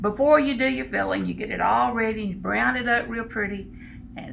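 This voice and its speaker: Very fast speech in a Texan accent, with noticeable background noise. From Texas. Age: middle-aged. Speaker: home cook. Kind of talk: cooking demonstration.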